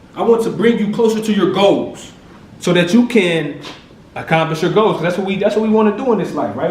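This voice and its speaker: Amid noticeable background noise and audible room echo, the speaker goes at a very fast pace with ordinary pitch variation. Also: man. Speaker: motivational speaker. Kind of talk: motivational speech.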